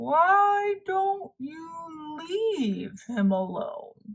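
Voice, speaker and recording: A woman puts on a character voice at an extremely high pitch. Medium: read story.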